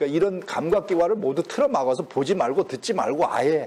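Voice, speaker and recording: A man's unremarkable speaking voice, fairly high in pitch, with lively intonation. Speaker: professor emeritus lecturing on Confucian classics. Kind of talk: lecture. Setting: lecture hall with audience.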